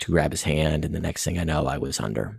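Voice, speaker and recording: Speaking with an American accent, a man has a very deep, low pitch and vocal fry, captured in a dry, close sound with no echo. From Florida and East Tennessee, US South. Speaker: acupuncture and Chinese medicine practitioner. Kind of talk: interview telling a personal story. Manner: halting.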